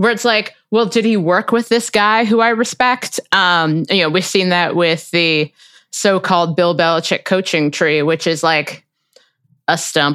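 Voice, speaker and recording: In a very clean recording with a silent background, a woman with an American accent speaks in a plain, everyday voice at a fairly low pitch. Her pace is fairly slow, with ordinary pitch variation and very even loudness. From US Midwest, Cincinnati, Ohio. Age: 30s. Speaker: podcast host and opinion writer. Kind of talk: casual interview.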